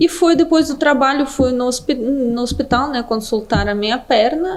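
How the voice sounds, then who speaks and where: With a Russian accent, a high-pitched woman speaks with ordinary pitch variation over noticeable background noise. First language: Russian (speaking Portuguese). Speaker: business development manager. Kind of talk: podcast interview.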